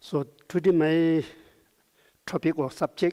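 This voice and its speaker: A man's dark, mellow voice with a non-native accent. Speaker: Buddhist lama, meditation teacher. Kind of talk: conference talk.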